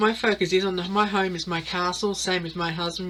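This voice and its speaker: A woman's bright, sharp tone in an Australian accent, monotone and flat, at a moderate pace. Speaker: tarot reader. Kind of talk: casual monologue, tarot reading. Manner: halting, many fillers.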